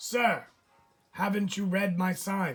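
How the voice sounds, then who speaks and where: Someone does a put-on character voice with faint music in the background. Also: man. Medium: read story. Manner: firm.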